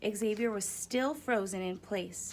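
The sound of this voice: It is an unforced reading voice with ordinary pitch variation.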